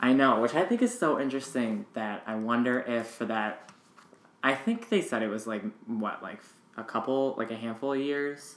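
A man's unremarkable speaking voice, medium in pitch with ordinary pitch variation, at a moderate pace with an American accent. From rural US East Coast. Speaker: podcast host. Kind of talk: casual chat.

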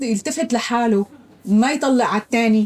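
Her fairly high voice has a dark, mellow tone, and this woman uses ordinary pitch variation. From Syria. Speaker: refugee, former housewife. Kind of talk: interview.

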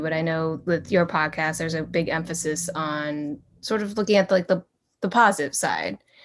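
In an unremarkable speaking voice, a woman talks at a moderate pace and a fairly low pitch, with an American accent. The recording is very clean, with a silent background. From northern US. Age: 20s. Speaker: podcast host and adoptee. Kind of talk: casual interview.

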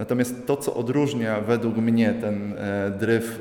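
Noticeable background noise sits under a man speaking at medium pitch and a moderate pace in a monotone, flat intonation. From Upper Silesia, Poland (Radzionków). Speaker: visual artist. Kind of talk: interview at art exhibition. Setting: gallery exhibition.

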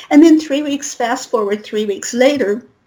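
Speaking in a General American accent, a woman keeps a fairly quick pace with ordinary pitch variation. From Colorado, US. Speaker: spiritual reader and author. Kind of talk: interview. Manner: rambling, run-on.

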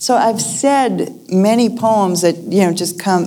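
A woman speaks with ordinary pitch variation. Noticeable background noise and audible room echo surround her voice. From US Northeast, Lexington, Massachusetts. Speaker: poet. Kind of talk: conversation before a live audience.

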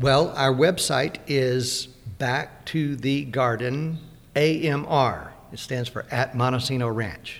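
Speaking with a Southern US accent, a man talks at a very slow pace with fairly even intonation. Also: medium pitch for a man. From US South, Mississippi. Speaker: organic farmer. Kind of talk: interview.

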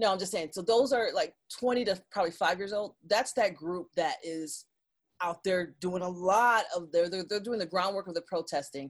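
Speaking at a moderate pace, a woman has a plain, everyday voice with an American accent. Her pitch is medium, with ordinary pitch variation. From Detroit, Michigan. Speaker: digital marketing consultant. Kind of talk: interview.

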